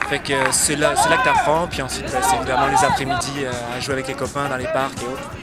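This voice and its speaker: With music playing behind him and audible room echo, a man speaks at a fairly quick pace. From France. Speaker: amateur soccer player. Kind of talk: casual interview.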